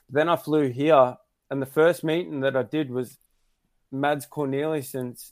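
Fairly even intonation marks this fairly slow speech. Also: man. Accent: Australian. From Australia. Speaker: speedway rider. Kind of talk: casual chat.

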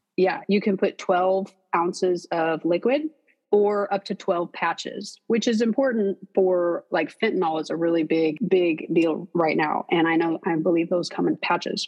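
In an American accent, a woman talks at a fairly slow pace and a medium pitch, with ordinary pitch variation and hardly any pauses. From US Midwest, St. Louis. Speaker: addiction recovery advocate. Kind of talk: interview, personal testimony.

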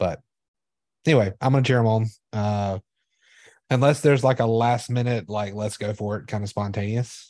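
The speaker has a dark, mellow tone and ordinary pitch variation at a moderate pace. Long, frequent pauses break up the speech against a quiet background. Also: man, medium pitch for a man. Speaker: podcast co-host. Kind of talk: casual chat.

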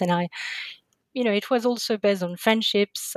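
Recorded dry and close with no echo, a woman speaks at a medium pitch with a French accent. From France, Paris suburbs. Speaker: literature scholar. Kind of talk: interview.

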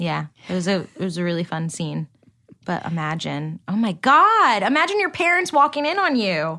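The speaker has a New Jersey accent and keeps a moderate pace. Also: woman. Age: 20s. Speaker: barista. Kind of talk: casual chat. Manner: animated.

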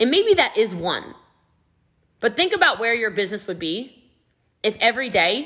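Loud and energetic, a woman speaks in a bright, sharp tone. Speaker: podcast host, network marketing trainer. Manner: fast talker; loud, energetic.

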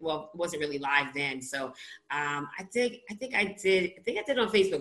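The voice has an animated tone and a New York accent. Noticeable background noise can be heard. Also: woman. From US Northeast, Brooklyn, New York. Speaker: author and recovery podcaster. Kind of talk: interview, personal testimony.

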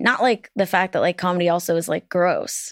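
A normal speaking voice from a woman at medium pitch, fairly quick and fairly even in intonation, with a dry, close sound with no echo and a very clean recording with a silent background. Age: 30s. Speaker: podcast host and comedian. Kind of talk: casual interview chat. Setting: studio.

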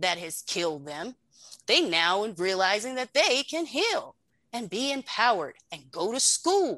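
Over a quiet background, a woman with an American accent and a bright, sharp tone speaks at a fairly high pitch and a fairly slow pace, her pitch swinging very widely. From North Carolina, near Virginia border. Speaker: veteran advocate and herbal wellness entrepreneur. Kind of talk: interview. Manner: animated.

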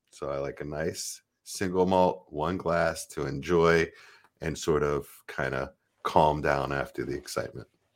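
A man speaks with a very deep, low pitch and vocal fry, his intonation fairly even. His pace is fairly slow, and the recording is very clean with a silent background. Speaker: fantasy football podcaster. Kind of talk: casual chat.

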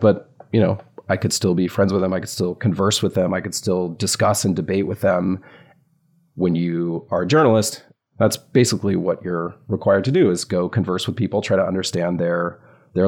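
A man with an American accent speaks at a moderate pace in a very deep, low pitch with ordinary pitch variation, recorded very cleanly against a silent background. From US South. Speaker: journalist and author. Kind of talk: casual interview chat.

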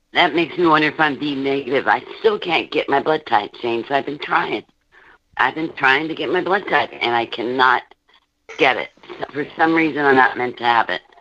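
With an American accent, a woman speaks in a very deep, low pitch with a bright, sharp tone. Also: ordinary pitch variation, fairly quick pace. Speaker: caller. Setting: phone call.

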